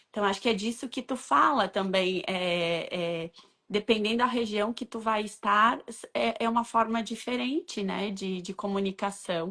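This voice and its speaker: On a very clean recording with a silent background, a bright, sharp voice moves at a fairly slow pace with hardly any pauses and ordinary pitch variation. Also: woman, medium pitch for a woman. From Rio Grande do Sul, southern Brazil. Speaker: co-host, interviewer. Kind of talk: casual conversation.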